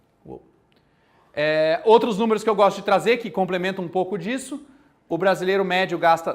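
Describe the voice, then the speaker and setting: In a Mato Grosso do Sul accent, a man speaks at a moderate pace in a high pitch, with an animated tone and lively intonation. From Brazil, Mato Grosso do Sul. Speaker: university lecturer. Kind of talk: lecture. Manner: casual and animated.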